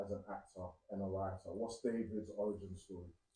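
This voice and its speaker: A man talks fairly quickly in a dark, mellow tone that is somewhat breathy. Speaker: interview host. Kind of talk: interview questions.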